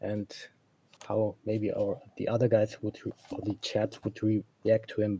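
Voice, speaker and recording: Dry and close with no echo, a man's somewhat breathy voice has a dark, mellow tone and a German accent. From Germany. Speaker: caller. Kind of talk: casual chat. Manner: halting.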